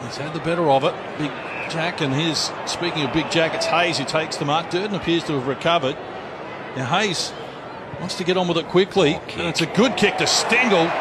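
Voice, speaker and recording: A man with an Australian accent speaks at a fairly quick pace in a high pitch and an excited tone, with ordinary pitch variation and noticeable background noise. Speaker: sports commentator. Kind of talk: live sports commentary. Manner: excited, fast play-by-play calling.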